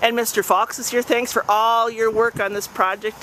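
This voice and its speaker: Fairly high in pitch, a woman talks at a fairly quick pace in a plain, everyday voice. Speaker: amateur videographer filming a community event. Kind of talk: casual video diary narration to a friend. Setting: outdoors.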